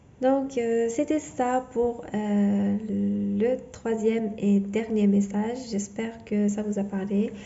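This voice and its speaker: A woman's fairly high voice at a very slow pace, with a non-native accent, very even loudness, fairly even intonation, hardly any pauses and noticeable background noise. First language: not French (speaking French). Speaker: tarot reader. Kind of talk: tarot reading monologue; channel outro. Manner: halting, many fillers and repetitions.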